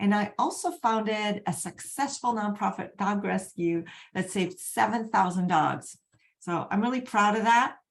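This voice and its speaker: With a medium pitch, a woman talks at a moderate pace. There is some breathiness in her voice, and her pitch varies in an ordinary way. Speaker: energy healing coach. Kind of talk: live webinar presentation. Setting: online video event.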